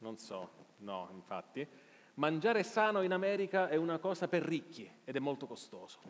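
Very wide pitch swings mark a man's speech, which moves at a moderate pace. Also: fairly high pitch for a man. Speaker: journalist and live show host; journalist, live show host. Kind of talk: live interview on stage. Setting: theater stage with audience. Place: stage.

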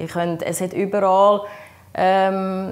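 A woman with a Swiss accent speaks with fairly even intonation. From German-speaking Switzerland. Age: 50s. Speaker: patient sharing experience; interviewee. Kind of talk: interview testimony. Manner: halting, many fillers. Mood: calm, earnest. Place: home room.

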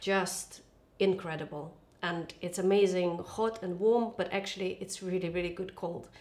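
At a moderate pace, a woman speaks with fairly even intonation. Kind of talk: cooking tutorial chat. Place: kitchen.

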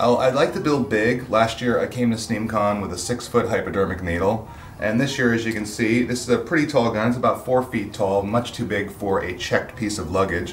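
A man's voice with ordinary pitch variation and hardly any pauses, over light background noise. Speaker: guest. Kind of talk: interview answer. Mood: friendly, relaxed, humorous. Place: workshop.

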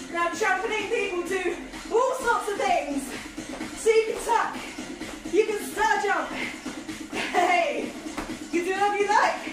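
Long, frequent pauses against clear background music and audible room echo. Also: woman, ordinary pitch variation. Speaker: workout instructor. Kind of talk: energetic workout instruction. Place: kitchen. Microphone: camera far.

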